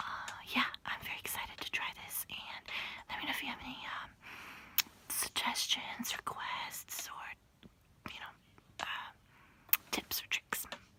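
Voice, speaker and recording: A woman whispers at a moderate pace, with long pauses coming often. Her loudness swings widely, and background noise is clearly audible. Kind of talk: casual talk to camera. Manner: whispered.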